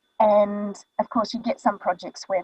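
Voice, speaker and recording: A woman with a New Zealand accent speaks at a fairly quick pace in a somewhat breathy voice, recorded dry and close with no echo. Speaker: voice actor. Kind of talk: casual talk on a live online show. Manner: many filler ums.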